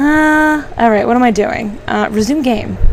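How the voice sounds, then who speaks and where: A woman's fairly high-pitched voice at a fairly slow pace, with noticeable background noise. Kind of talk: casual gameplay commentary. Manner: volume fluctuates from quiet to loud.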